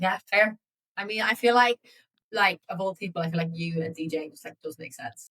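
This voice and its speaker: With an Irish accent, a woman talks at a medium pitch with ordinary pitch variation and big swings in loudness, in a dry, close sound with no echo. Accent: English with a picked-up Irish lilt. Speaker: travel podcast co-host. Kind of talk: casual chat. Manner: chatty, with many fillers.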